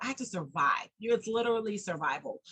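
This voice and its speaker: A woman talks at a very fast pace with a New York accent and fairly high pitch. Her tone is bright, sharp and animated, with ordinary pitch variation. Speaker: domestic abuse survivor and nonprofit founder. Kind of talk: interview.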